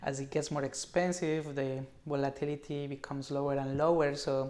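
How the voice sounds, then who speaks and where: The man's voice sits at a fairly high pitch. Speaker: options trading educator. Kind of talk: live webinar presentation. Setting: live video stream. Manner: fast.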